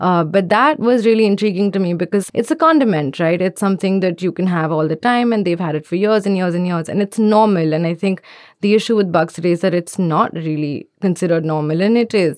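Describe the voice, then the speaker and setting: A woman at a very fast pace with hardly any pauses, medium pitch, and ordinary pitch variation. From India. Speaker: journalist. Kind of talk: interview.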